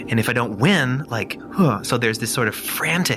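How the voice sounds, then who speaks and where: A man speaks with music playing in the background. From Austria. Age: 30s. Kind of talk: interview answer. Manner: reflective, conversational.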